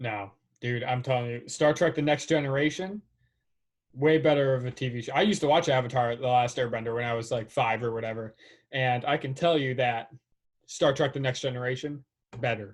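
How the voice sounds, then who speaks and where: This man has an ordinary speaking voice, medium in pitch with ordinary pitch variation. He talks at a fairly quick pace against a quiet background. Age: 20s. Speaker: podcast co-host. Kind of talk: casual chat.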